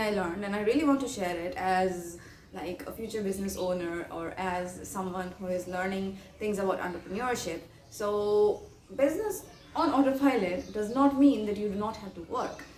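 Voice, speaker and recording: A woman's medium-pitched voice at a moderate pace with ordinary pitch variation, plus audible room echo and noticeable background noise. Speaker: vlogger. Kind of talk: casual vlog monologue.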